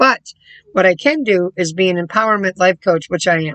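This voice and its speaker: Recorded with a dry, close sound and no echo, a woman speaks with fairly low pitch and ordinary pitch variation. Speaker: life coach vlogger. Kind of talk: casual vlog monologue. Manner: fast; animated.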